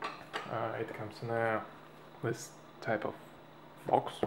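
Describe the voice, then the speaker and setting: At a very slow pace, a man talks in a medium pitch over noticeable background noise. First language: Russian. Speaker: airsoft hobbyist. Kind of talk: product tutorial. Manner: halting, many fillers.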